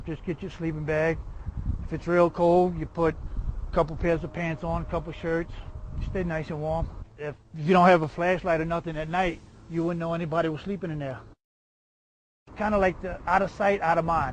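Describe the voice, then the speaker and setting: At a fairly quick pace, the speaker uses monotone, flat intonation with an American accent and long, frequent pauses. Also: man, high pitch for a man. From New Orleans, Louisiana. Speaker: homeless man, hurricane evacuee. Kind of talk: documentary interview, personal testimony. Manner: casual, conversational.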